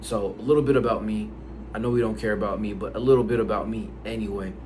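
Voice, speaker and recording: With audible room echo, a man talks very fast in an American accent. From United States, Haitian family. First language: Haitian Creole. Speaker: language learning YouTuber. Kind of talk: casual vlog talk. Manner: casual, with many fillers and repetitions.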